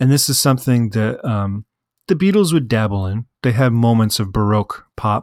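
A soft-spoken man. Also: dry, close sound with no echo, very clean recording, silent background. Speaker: music podcast host. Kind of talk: solo podcast talk about music. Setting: home apartment late at night.

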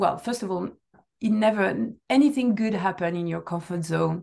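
In a French accent, a woman talks at a moderate pace and a medium pitch with ordinary pitch variation, against a quiet background. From southern France. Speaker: customer success director. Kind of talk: interview.

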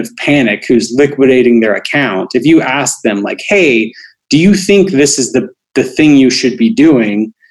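With lively intonation, a plain, everyday voice moves at a fairly slow pace. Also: man. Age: 40s. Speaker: behavioral finance expert and author. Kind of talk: interview.

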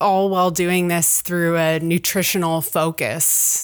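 In a fairly slow pace, a woman with a Canadian accent and an ordinary speaking voice talks at a fairly low pitch on a very clean recording with a silent background. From Ontario, Canada. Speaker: university professor and researcher. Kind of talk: interview.

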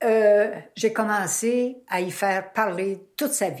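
The speaker is a woman. She talks with a Quebec accent. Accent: Québécois French. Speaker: son or daughter of the grandmother. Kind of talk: casual interview.

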